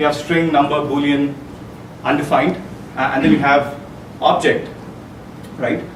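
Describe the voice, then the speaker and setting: This man's voice sits fairly high, and his intonation stays fairly even at a moderate pace. He takes long, frequent pauses, and there is audible room echo and noticeable background noise. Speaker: software developer giving a tech talk. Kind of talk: conference talk. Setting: meetup presentation with audience. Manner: hesitant, many fillers.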